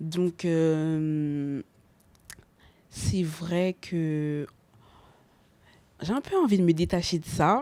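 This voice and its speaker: Speaking very slowly with long, frequent pauses, a woman uses a fairly low pitch and ordinary pitch variation. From Montfermeil, Seine-Saint-Denis, France. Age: young. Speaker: R&B singer. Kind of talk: interview answer.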